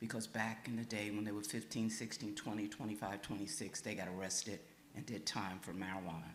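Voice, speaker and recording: This is a man talking. The room echo is audible. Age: 80s+. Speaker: pastor. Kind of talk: public comment at listening session. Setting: church meeting with audience.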